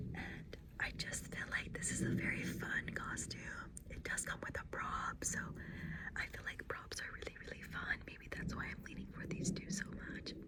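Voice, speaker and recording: A moderately paced whisper against noticeable background noise. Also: woman. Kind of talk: ASMR roleplay, costume fitting. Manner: soft-spoken, whispered.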